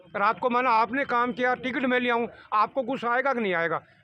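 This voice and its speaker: A man projects a raised voice with extremely high pitch and a bright, sharp tone, at a moderate pace with ordinary pitch variation. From Rajasthan, Jhunjhunu area. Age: 60s. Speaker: villager interviewed about elections. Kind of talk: street interview. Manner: halting, many fillers.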